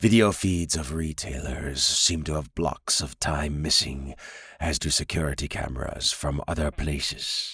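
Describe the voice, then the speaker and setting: A put-on character voice with ordinary pitch variation moves along at a moderate pace. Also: man. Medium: read story. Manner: measured, authoritative.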